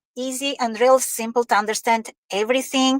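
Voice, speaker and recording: A woman speaks with an Albanian accent, the sound dry and close with no echo. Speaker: online business owner with corporate job. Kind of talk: interview. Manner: halting, many fillers.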